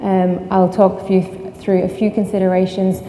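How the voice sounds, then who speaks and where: A woman speaks at a moderate pace in a medium pitch with flat, monotone intonation, with audible room echo and noticeable background noise. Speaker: sustainability consultant. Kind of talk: conference talk. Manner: frequent filler ums.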